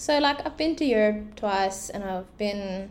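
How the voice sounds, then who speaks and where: Noticeable background noise sits behind a woman speaking at a moderate pace in an animated tone with lively intonation. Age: 20s. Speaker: podcast co-host, graphic designer and photographer. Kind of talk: casual chat. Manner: animated, laughing often.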